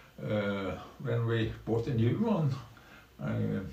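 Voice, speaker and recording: Amid audible room echo and noticeable background noise, a man speaks at a very slow pace with lively intonation. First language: Norwegian. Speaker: streamer. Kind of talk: live stream commentary. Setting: small room at home. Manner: halting, many fillers.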